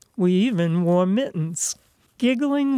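In a dry, close recording with no echo and a quiet background, a woman speaks at a medium pitch and a fairly slow pace with a dark, mellow tone and ordinary pitch variation. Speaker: writer reading own work. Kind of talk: literary short story reading, childhood memoir read aloud.

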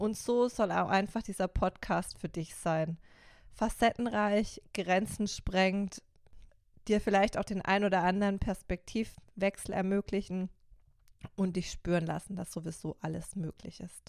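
A woman at medium pitch talks fairly slowly. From Baden, Karlsruhe. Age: 30s. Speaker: youth life coach, podcast host. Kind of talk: solo podcast introduction.

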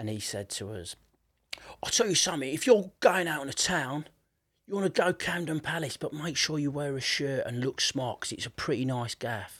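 With a Yorkshire accent, a fairly high-pitched man speaks at a moderate pace with lively intonation and big swings in loudness, in a very clean recording with a silent background. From northern England, Leeds. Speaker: podcast host and musician. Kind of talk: casual interview chat.

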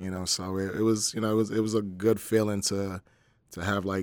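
Speaking fairly quickly with an American accent, a man delivers his words in a very deep, low pitch and a monotone, flat intonation on a very clean recording with a silent background. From US Northeast (New Jersey). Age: 40s. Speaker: personal trainer and bodybuilder. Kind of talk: casual interview.

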